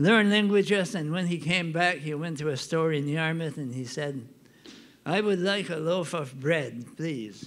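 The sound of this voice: A man with an Acadian accent speaks at a fairly slow pace in a fairly bright tone, his pitch fairly high and its variation ordinary. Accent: Acadian French Canadian.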